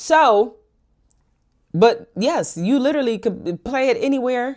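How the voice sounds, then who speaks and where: A high-pitched woman's voice in an American accent, lively in intonation, at a fairly slow pace, on a very clean recording with a silent background. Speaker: commentary YouTuber. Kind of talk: reading and commenting on legal documents. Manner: casual, profane, animated.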